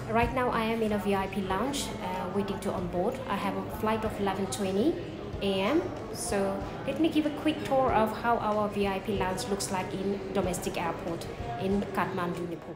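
The speech moves at a fairly slow pace with ordinary pitch variation, and clear music plays in the background. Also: woman. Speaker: travel vlogger. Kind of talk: casual vlog chat. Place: hall. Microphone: phone near.

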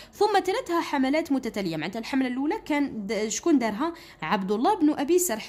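Very wide pitch swings mark this fairly quick speech in an Algerian accent. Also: woman, high pitch for a woman. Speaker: school teacher. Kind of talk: tutorial. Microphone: phone near.

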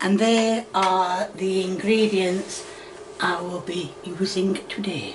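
Over noticeable background noise, a woman with a Yorkshire accent speaks at a very slow pace in a monotone, flat intonation. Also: medium pitch for a woman. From Yorkshire, northern England. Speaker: home cooking video host. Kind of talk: cooking tutorial. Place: kitchen. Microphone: phone near.

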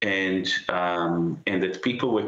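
Audible room echo surrounds a man's voice. He speaks at a very slow pace. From Israel (born in Haifa); Israel. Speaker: architect and professor. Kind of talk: news interview. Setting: remote link from London. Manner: hesitant, many fillers. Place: home room. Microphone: video call.

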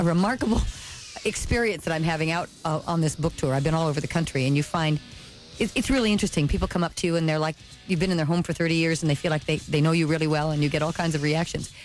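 A woman talks at a very fast pace with very even loudness, a fairly low pitch and ordinary pitch variation. Faint music plays in the background, and the sound is dry with no echo. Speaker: guest actress on book tour. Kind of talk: interview answer. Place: studio.

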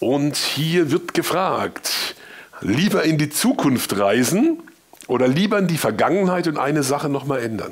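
A man speaks at a fairly slow pace, his fairly high pitch carried by lively intonation. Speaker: radio show host. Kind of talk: interview questions. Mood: cheerful, warm. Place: studio.

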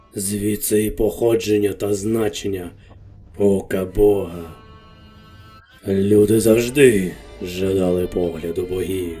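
Faint music plays in the background as a man, using a put-on character voice with a fairly low pitch, talks at a fairly slow pace with long, frequent pauses. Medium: fan dub. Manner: grave, unhurried.

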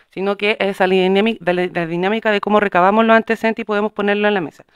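Against a quiet background, a woman with a medium pitch talks at a very fast pace, the sound dry with no echo. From Chile. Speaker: city councillor. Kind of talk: formal council meeting. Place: meeting room.

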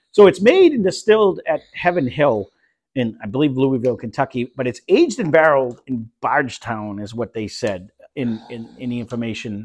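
Over a quiet background, a man talks at a fairly quick pace with big swings in loudness. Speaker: whiskey review host. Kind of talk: casual review chat. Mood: relaxed, joking. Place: home room.

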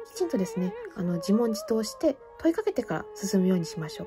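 A woman talks at a fairly quick pace in a fairly high voice with very wide pitch swings. Music plays in the background. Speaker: fortune teller; classical soprano singer. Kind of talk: tarot reading to camera.

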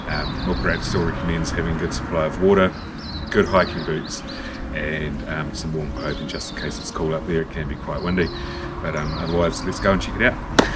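A man talks at a fairly quick pace with ordinary pitch variation. Loud background noise runs behind him. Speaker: hiking vlogger. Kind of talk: casual vlog chat. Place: garden. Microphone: camera far.

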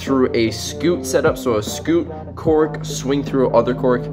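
Clear music plays in the background while a man speaks at a fairly slow pace. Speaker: gymnastics tricking vlogger. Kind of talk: casual vlog chat. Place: home room. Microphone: phone near.

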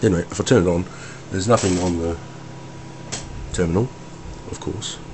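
A man with a very deep, low voice talks over noticeable background noise. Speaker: hobbyist computer builder. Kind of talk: casual hardware demo to camera.

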